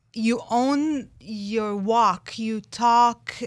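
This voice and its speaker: A woman with a non-native accent and a fairly high voice speaks with ordinary pitch variation on a very clean recording against a silent background. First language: not English. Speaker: life coach, neurolinguistic expert. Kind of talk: radio interview. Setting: radio studio. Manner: hesitant, with fillers.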